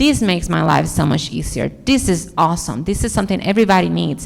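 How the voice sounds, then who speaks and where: A woman with a strong Dominican accent speaks at a moderate pace. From Dominican Republic. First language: Spanish. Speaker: architect. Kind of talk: conference talk Q&A. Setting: stage with audience.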